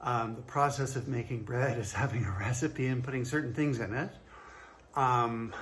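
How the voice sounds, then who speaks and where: There is audible room echo around the voice. A man speaks at a moderate pace with fairly even intonation. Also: medium pitch for a man. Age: 60s. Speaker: fitness trainer. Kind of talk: casual talk to camera. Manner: hesitant, many fillers.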